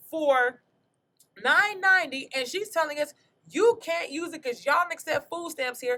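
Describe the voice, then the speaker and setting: A woman with an extremely high voice speaks in a raised, projected way with a bright, sharp tone. She sounds animated and keeps a moderate pace. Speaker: comedian, podcast host. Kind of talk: storytelling in casual podcast chat. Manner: loud.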